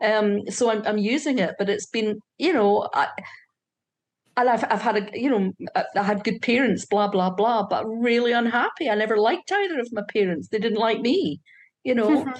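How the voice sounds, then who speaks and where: Her voice sits fairly high and keeps a very even loudness, with ordinary pitch variation. The background is quiet. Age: 60s. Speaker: workshop participant. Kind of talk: personal testimony in a group workshop. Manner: halting, with many repetitions and fillers.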